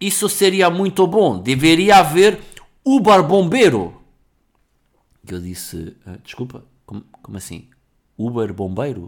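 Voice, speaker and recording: Animated in tone, a man with a fairly high pitch speaks at a fairly slow pace with very wide pitch swings, big swings in loudness, and long, frequent pauses. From Portugal, Lisbon area. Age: 40s. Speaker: podcast host. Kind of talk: casual solo monologue.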